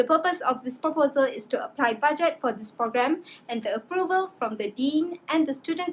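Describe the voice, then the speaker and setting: Light background noise sits behind a woman's voice. She speaks at a moderate pace with ordinary pitch variation. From Malaysia. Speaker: student; presenter. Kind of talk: class presentation. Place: home room. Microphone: webcam.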